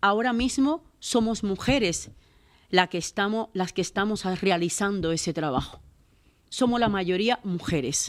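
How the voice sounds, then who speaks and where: Recorded very cleanly against a silent background, a woman talks at a fairly slow pace with a medium pitch, an animated tone and lively intonation. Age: 60s. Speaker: domestic worker and labor activist. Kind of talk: panel talk.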